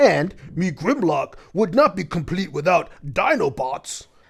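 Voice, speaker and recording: Fairly slow delivery in a put-on character voice, pitched in the middle. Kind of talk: broken, caveman-like speech. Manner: brusque.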